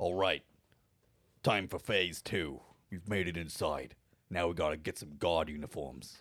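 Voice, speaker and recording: Putting on a character voice, a man speaks in a very deep, low, raspy tone at a moderate pace, with ordinary pitch variation and long, frequent pauses. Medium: actual play. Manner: brisk, commanding.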